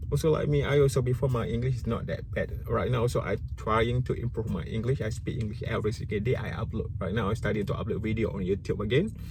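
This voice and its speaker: Talking at a very fast pace with hardly any pauses, a man in a Malaysian accent is heard amid audible room echo and noticeable background noise. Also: medium pitch for a man, lively intonation. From Malaysia (Malay). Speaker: YouTuber. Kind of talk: casual vlog commentary. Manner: halting, self-correcting.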